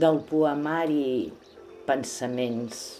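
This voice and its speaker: Music plays behind a woman who talks at a very slow pace. Her intonation is lively, and room echo can be heard. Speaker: poetry reciter. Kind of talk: reading aloud. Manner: calm.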